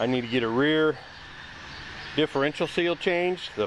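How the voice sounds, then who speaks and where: Using lively intonation at a moderate pace, a man speaks over noticeable background noise. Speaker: car restoration YouTuber. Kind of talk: casual garage vlog. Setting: outdoors in driveway. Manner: casual, rambling.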